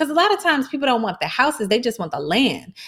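Her voice high, a woman races along at a very fast pace with very wide pitch swings. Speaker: podcast co-host. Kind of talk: casual chat.

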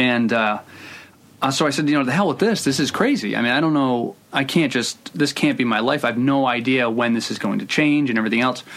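Here is an unremarkable speaking voice from a man with an American accent, set at a medium pitch with ordinary pitch variation. He goes at a fairly quick pace, and his loudness stays very even. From Providence, Rhode Island, US. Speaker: screenwriter. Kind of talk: casual interview.

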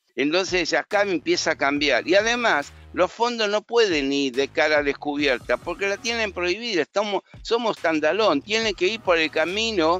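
Over a quiet background, a man with an Argentine accent speaks at a moderate pace with a high pitch and a bright, sharp tone. His intonation is lively, with hardly any pauses, in a dry, close sound with no echo. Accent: Rioplatense Argentine Spanish. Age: 70s. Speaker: stock market analyst and teacher. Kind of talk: casual market commentary chat.

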